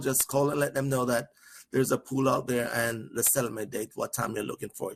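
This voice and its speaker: A man talks with a Jamaican accent. His pace is fairly quick. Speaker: trainer. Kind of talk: training webinar. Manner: fast.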